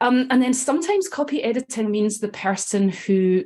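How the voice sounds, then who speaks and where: Lively intonation from a woman with a Scottish accent at a moderate pace. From Scotland. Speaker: copywriter and editor. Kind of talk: podcast interview. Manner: conversational with many filler ums.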